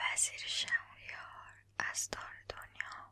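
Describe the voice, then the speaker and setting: A woman whispering at a very slow pace. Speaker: ASMR creator and storyteller. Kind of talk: bedtime storytelling reading of a classic tale. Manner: soft, slow, relaxing.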